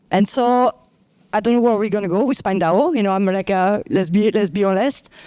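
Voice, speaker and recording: In a French accent, a woman talks at a fairly quick pace and medium pitch. Her tone is dark and mellow, with ordinary pitch variation and very even loudness. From France. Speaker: clinical researcher. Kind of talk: panel discussion.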